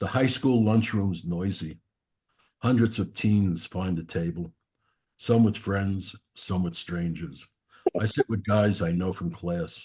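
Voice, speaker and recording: A man with a strong Brooklyn accent speaks slowly-ish, at a fairly slow pace, with long, frequent pauses, his somewhat breathy voice fairly low in pitch, dark and mellow in tone, with ordinary pitch variation. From New York, Brooklyn. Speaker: poet. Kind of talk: poetry reading.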